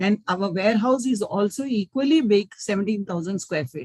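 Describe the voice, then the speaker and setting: A woman speaks at a moderate pace with medium pitch and a somewhat breathy voice. Her pitch swings very widely, and the sound is dry and close with no echo. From India, Mumbai. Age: 60s. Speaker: business owner. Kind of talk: webinar talk.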